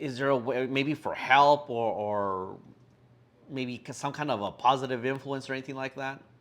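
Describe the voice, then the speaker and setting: A man with a plain, everyday voice talks at a moderate speed, his pitch medium and his intonation fairly even. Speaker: podcast host. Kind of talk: interview question.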